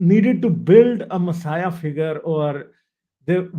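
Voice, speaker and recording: A man with a Punjabi accent speaks at a very slow pace with lively intonation. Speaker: livestream host. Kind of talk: casual interview on livestream.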